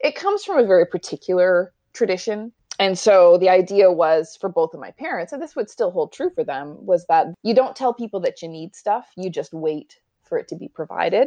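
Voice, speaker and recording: A woman with a Canadian accent speaks in a normal speaking voice at a medium pitch and moderate pace, her intonation lively and her loudness swinging widely, recorded dry and close with no echo against a quiet background. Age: 40s. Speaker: financial planner. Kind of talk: interview.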